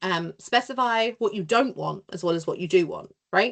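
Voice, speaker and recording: Over a quiet background, a woman with vocal fry speaks at a fairly quick pace with ordinary pitch variation. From UK. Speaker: university librarian trainer. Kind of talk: training presentation. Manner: casual, filler-heavy.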